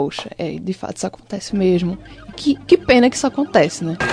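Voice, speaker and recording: With very wide pitch swings, a woman speaks at a fairly quick pace in a dry, close sound with no echo, over noticeable background noise. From Limoeiro, Pernambuco, Brazil. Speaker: communication student and short film director. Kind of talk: casual chat.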